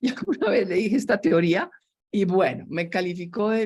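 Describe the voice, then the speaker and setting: A somewhat breathy woman's voice with lively intonation. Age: 70s. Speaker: systems engineer and entrepreneur. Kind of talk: interview.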